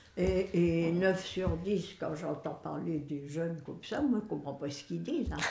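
A woman with a fairly low voice talks at a fairly slow pace with hardly any pauses and ordinary pitch variation, amid noticeable background noise and audible room echo. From northern France, Boulogne-sur-Mer. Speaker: great-grandmother interviewee. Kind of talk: casual family interview.

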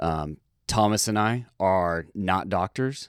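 A man's voice with ordinary pitch variation, dry and close with no echo, in a very clean recording over a silent background. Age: 30s. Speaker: police officer and podcast co-host. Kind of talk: spoken disclaimer.

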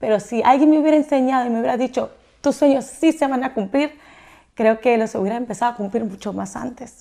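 Captured on a very clean recording with a silent background, a woman speaks very fast at a high pitch in a dark, mellow tone with ordinary pitch variation. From Mexico. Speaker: entrepreneur and influencer. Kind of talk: interview.

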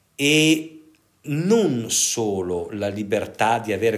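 Lively intonation from a man at medium pitch, with audible room echo. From northern Italy, Pavia. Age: 50s. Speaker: psychiatrist and sexologist. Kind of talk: interview.

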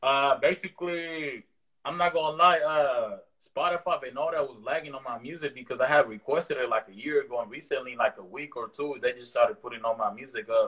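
A man with an American accent speaks at a fairly quick pace, with big swings in loudness. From East Oakland, California (part of childhood in Mexico). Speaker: rapper. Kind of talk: casual interview. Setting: video call. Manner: relaxed, halting with fillers.

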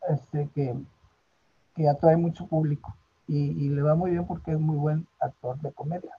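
A man's voice has a dark, mellow tone and fairly even intonation. The sound is dry and close, without echo. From northern Mexico, Monterrey. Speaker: theatre director and retired physician. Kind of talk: interview.

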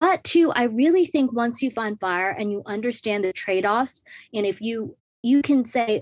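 Over a very clean recording with a silent background and a dry, close sound with no echo, a woman with a normal speaking voice speaks fairly slowly at a fairly high pitch with lively intonation. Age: 20s. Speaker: personal finance influencer. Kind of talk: interview.

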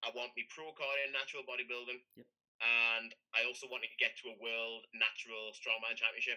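With a British accent, a man talks at a fairly quick pace in a bright, sharp tone, his intonation monotone and flat while his loudness swings widely. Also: medium pitch for a man. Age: 30s. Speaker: powerlifter. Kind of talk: casual chat.

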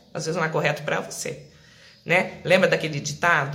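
Audible room echo and noticeable background noise surround this woman as she speaks. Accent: rural Brazilian. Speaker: live-stream wellness host. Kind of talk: live-stream monologue. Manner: conversational.

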